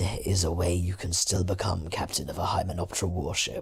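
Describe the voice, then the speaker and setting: A man's raspy, put-on character voice, very deep and low in pitch, monotone and flat, at a fairly quick pace with very even loudness. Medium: read story.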